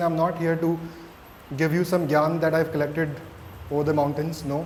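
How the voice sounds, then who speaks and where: Fairly quick, high-pitched male speech with audible room echo and noticeable background noise. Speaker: mindfulness coach. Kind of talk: interactive talk to students. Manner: hesitant, with fillers.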